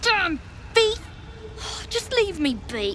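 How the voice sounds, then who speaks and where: In a put-on character voice, a female-sounding speaker talks at an extremely high pitch over clear background noise. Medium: game stream.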